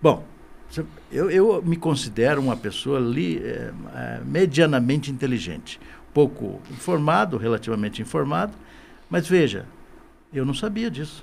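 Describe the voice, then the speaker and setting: Pausing long and often, a man with fairly high pitch moves at a moderate pace while his pitch swings very widely. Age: 60s. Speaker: business association director. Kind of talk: podcast interview. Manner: halting, repeats words.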